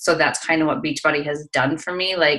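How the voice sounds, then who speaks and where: A woman speaks with a Minnesotan accent and a very deep, low pitch. Her tone is bright and sharp, with ordinary pitch variation. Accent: Minnesota. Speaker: fitness coach. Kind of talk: interview. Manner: casual, many fillers.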